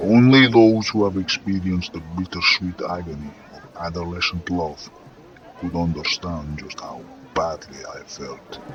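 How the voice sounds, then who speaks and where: Putting on a theatrical character voice in a Russian accent, a man growls in a guttural, very deep, low pitch at a moderate pace. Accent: throaty Russian. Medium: read story. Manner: gruff, commanding, theatrical.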